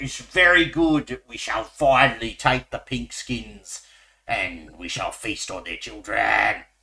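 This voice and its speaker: In a put-on character voice, a man talks at a medium pitch and a fairly slow pace. The voice is raspy. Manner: menacing, gruff.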